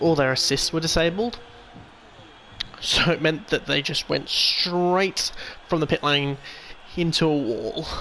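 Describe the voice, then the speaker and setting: Over noticeable background noise, a man with a fairly high pitch speaks at a fairly slow pace, with ordinary pitch variation, very even loudness and long, frequent pauses. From England, Birmingham. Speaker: video game streamer. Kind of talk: live gameplay commentary. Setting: live stream while playing a racing game.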